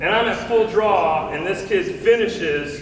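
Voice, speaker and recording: A man speaks in an animated tone, with audible room echo and noticeable background noise around him. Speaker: archery coach giving conference talk. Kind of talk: presentation to coaches.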